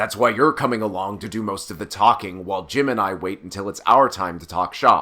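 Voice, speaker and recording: In a raspy, put-on character voice with a fairly low pitch, a man talks at a fairly quick pace with hardly any pauses and big swings in loudness, on a very clean recording with a silent background. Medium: read story. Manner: blunt, impatient.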